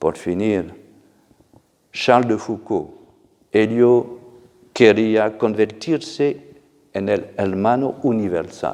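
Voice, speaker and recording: A man's very slow speech with a non-native accent, dark and mellow in tone, with ordinary pitch variation and long, frequent pauses. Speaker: church official. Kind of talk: formal address.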